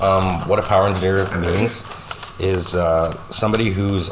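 With a Canadian Prairies accent, a man of very deep, low pitch talks at a moderate pace with monotone, flat intonation, amid audible room echo and noticeable background noise. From Saskatchewan, Canada. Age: 30s. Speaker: power engineer. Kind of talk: interview.

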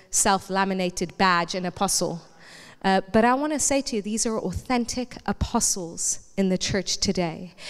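In a normal speaking voice, a woman talks at a moderate pace and medium pitch. Her pitch varies in an ordinary way, on a very clean recording with a silent background. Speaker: pastor. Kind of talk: sermon. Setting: church.

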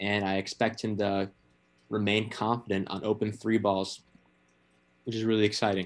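A man with an American accent speaks in a monotone, flat intonation with long, frequent pauses. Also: fairly low pitch for a man, moderate pace. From Chicago. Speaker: sports podcast co-host. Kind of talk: casual sports chat.

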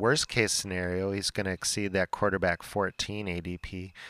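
In an unremarkable speaking voice, a man with a fairly low pitch talks at a moderate pace, the sound dry and close with no echo on a very clean recording with a silent background. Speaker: fantasy football podcast host. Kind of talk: casual chat.

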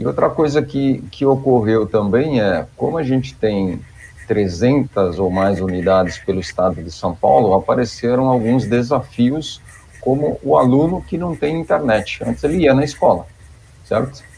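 The speaker uses a normal speaking voice with lively intonation at a fairly slow pace. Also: man, medium pitch for a man. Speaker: IT manager at public education institution. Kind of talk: panel discussion.

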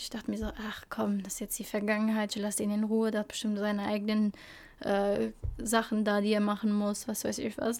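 Fairly quick speech from a woman, fairly high in pitch. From Belgium (Flemish-speaking part), born in Albania. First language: Albanian (speaking German). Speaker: podcast co-host. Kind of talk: casual chat.

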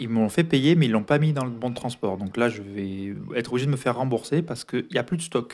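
At a very fast pace, a man speaks at a medium pitch with lively intonation. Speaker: podcaster. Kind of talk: solo diary-style monologue. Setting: home recording. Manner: hesitant with many fillers. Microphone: foam added to dampen echo.

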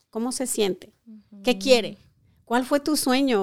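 At a moderate pace, a plain, everyday voice with ordinary pitch variation comes through on a very clean recording with a silent background. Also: woman. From Colima, western Mexico. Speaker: beauty school owner. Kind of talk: interview.

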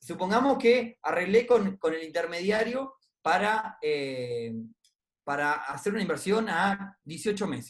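Speaking at a very slow pace in a Uruguayan accent, a man uses a high voice whose pitch swings very widely. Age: 30s. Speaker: investment club co-founder. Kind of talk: interview on personal finance.

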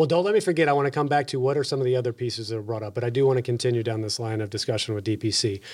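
Speaking very fast with hardly any pauses, a man with a Texan accent keeps a medium pitch and ordinary pitch variation on a very clean recording with a silent background. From Texas. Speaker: podcast host. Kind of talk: podcast interview.

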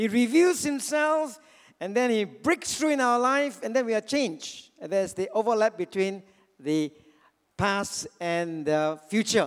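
Moving at a fairly slow pace, a man speaks with a high pitch that swings very widely. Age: 60s. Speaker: pastor. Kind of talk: sermon. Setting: church.

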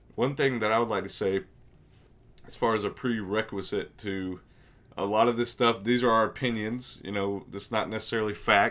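A hoarse male voice with fairly even intonation at a moderate pace. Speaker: podcast host. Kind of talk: casual banter, sports podcast.

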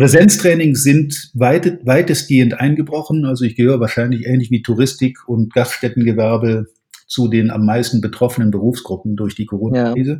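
The voice is somewhat breathy, with a dark, mellow tone, ordinary pitch variation and a fairly quick pace. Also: man, medium pitch for a man. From Germany, Rhineland (Cologne-Aachen area). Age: 50s. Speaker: sales trainer. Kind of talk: podcast interview.

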